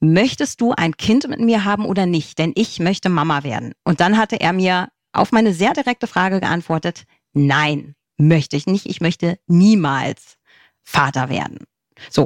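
A normal speaking voice from a woman, fairly low in pitch, with lively intonation, a moderate pace and a dry, close sound with no echo. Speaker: single mother by choice. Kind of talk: interview.

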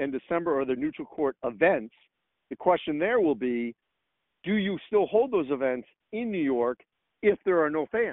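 With lively intonation and a moderate pace, a man talks in a fairly high pitch using a normal speaking voice. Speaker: college sports journalist. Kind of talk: casual interview.

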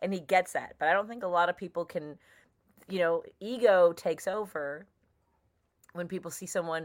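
An ordinary speaking voice from a woman with an American accent, fairly low in pitch, with ordinary pitch variation, on a very clean recording with a silent background. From Chicago. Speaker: stand-up comedian. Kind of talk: casual interview chat.

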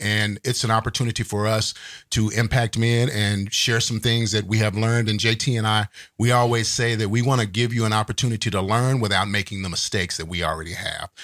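Speaking fairly quickly with a Texan accent and fairly even intonation, the voice comes through on a very clean recording against a silent background. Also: man. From Texas. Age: 50s. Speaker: podcast co-host. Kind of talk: casual chat.

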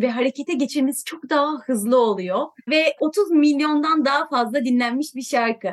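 High in pitch, a woman talks at a moderate pace with lively intonation. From Turkey, smaller coastal town. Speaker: climate NGO board chair. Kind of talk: interview.

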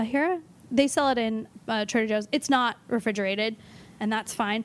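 A woman with a Californian accent speaks at a fairly quick pace in a high voice with ordinary pitch variation. The recording is very clean, with a silent background. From Los Angeles. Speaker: nutritionist. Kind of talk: casual chat.

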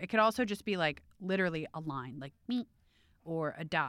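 Speaking at a fairly quick pace, a woman with an American accent uses a fairly low pitch. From US Midwest, Cleveland. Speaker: beauty editor. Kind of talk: casual chat.

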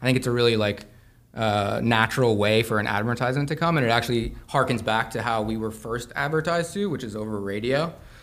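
A man talks in a plain, everyday voice with an American accent. His pitch is medium, with ordinary pitch variation. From US Southwest, Santa Fe, New Mexico. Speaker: apparel brand founder and graphic designer. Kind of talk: casual interview chat.

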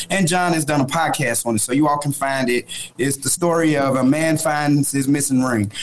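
Noticeable background noise sits behind a man with an American accent whose intonation is fairly even and whose loudness stays very even. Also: fairly high pitch for a man, moderate pace. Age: 40s. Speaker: youth organization leader. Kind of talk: political discussion; personal story.

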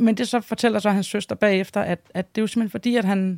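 A woman's medium-pitched voice at a fairly quick pace, with ordinary pitch variation and a dry, close sound with no echo. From Denmark. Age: 40s. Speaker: wife of a biker gang member. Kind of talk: interview. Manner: hesitant, many filler sounds.

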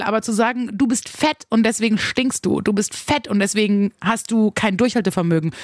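Here is an unremarkable speaking voice. It keeps a fairly quick pace. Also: woman. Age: 30s. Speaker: radio host and podcast host. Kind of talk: podcast monologue.

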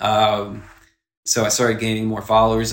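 A man with an American accent at a moderate pace, audible room echo around him. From US South, South Carolina. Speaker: sneaker photographer. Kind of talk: casual interview chat.

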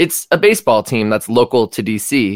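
In a very clean recording with a silent background and a dry, close sound with no echo, a man with an unremarkable speaking voice talks at medium pitch and a moderate pace with lively intonation. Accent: American. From Washington D.C. suburbs. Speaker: Nationals fan. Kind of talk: casual banter about baseball.

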